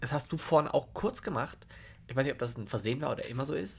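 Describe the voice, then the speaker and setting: Very fast delivery with lively intonation. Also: man. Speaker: podcast co-host. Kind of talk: casual chat. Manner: loud.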